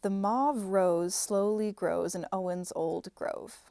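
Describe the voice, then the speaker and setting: A woman with a Midwestern American accent speaks at a very slow pace. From Minnesota, Midwestern US. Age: 20s. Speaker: software engineer and actor. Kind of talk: reading of word and sentence list.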